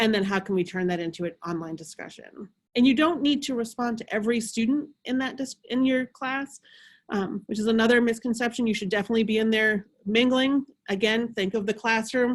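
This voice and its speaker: A woman with a fairly high, somewhat breathy voice speaks at a fairly quick pace with ordinary pitch variation, captured in a very clean recording with a silent background. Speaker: instructional designer leading faculty workshop. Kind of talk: workshop presentation. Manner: fast.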